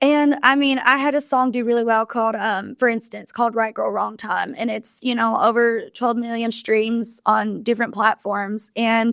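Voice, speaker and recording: A woman with a Southern US accent, fairly high-pitched and fairly even in intonation, at a moderate pace with hardly any pauses, on a very clean recording with a silent background. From Kentucky. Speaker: country singer. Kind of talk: interview answer. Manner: casual, conversational.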